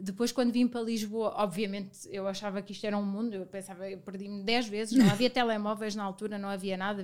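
Monotone and flat, the speech races at a very fast pace with hardly any pauses. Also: woman, big swings in loudness. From Portugal, Viseu. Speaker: business partner. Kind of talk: casual chat.

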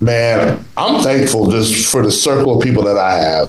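With noticeable background noise, a man speaks in an animated tone at medium pitch and a moderate pace, his intonation lively. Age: 40s. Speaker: podcast host. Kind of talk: casual chat. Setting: video call.

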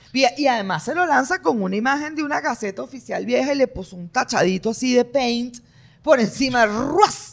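A woman speaks in a high voice with an animated tone and lively intonation. Her loudness swings widely at a moderate pace. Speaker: political commentary podcast co-host. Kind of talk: casual political discussion.

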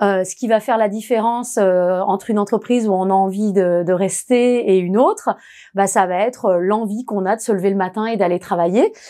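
Against a quiet background, a woman with a dark, mellow tone and medium pitch talks at a fairly quick pace with fairly even intonation. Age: 40s. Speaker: HR manager. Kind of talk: interview testimony.

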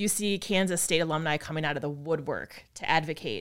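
An unremarkable speaking voice from a woman, fairly quick in pace, with ordinary pitch variation and a very clean recording on a silent background. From Wisconsin (Appleton). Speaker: financial advisor. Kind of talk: interview conversation.

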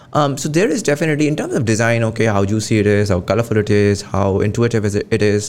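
A man in a Pakistani accent, medium-pitched, at a very fast pace with hardly any pauses and very even loudness. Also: ordinary pitch variation. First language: Urdu. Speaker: podcast host. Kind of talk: interview conversation.

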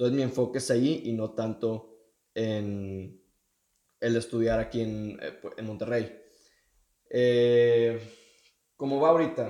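A man speaks very slowly at a medium pitch, with long, frequent pauses. His tone is dark and mellow, and his intonation fairly even. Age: young. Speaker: podcast co-host, student on gap year. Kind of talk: casual chat.

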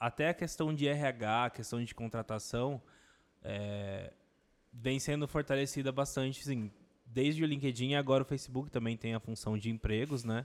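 On a very clean recording with a silent background, a man with a normal speaking voice talks at a moderate pace with fairly even intonation. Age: 20s. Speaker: advertising professional. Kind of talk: casual chat.

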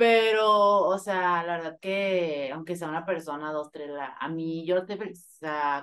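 A woman with an ordinary speaking voice and a fairly low pitch talks against a quiet background. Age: 20s. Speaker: podcast co-host. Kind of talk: live casual chat with listeners. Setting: online live session with audience.

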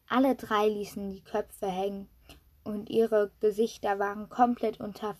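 A natural reading voice with fairly even intonation

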